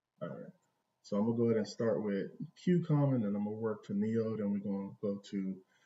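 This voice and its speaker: This soft-spoken voice goes at a very fast pace with ordinary pitch variation. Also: man, fairly low pitch for a man. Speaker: stock trading streamer. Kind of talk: live stream charting session. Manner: soft-spoken, talking low. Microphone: volume low, echoing room.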